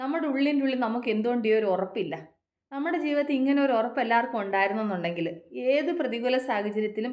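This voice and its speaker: Audible room echo surrounds a woman speaking at a fairly high pitch with lively intonation. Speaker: motivational vlogger. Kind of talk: motivational talk. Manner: repetitive, conversational.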